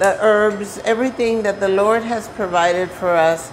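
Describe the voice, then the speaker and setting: Amid noticeable background noise and audible room echo, a woman speaks very slowly with fairly even intonation. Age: 60s. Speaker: hydration advocate. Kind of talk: guest talk on cooking show. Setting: senior center kitchen.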